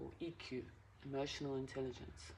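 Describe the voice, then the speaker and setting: The voice is soft-spoken, with ordinary pitch variation. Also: woman. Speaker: tarot reader. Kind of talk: tarot reading. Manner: halting.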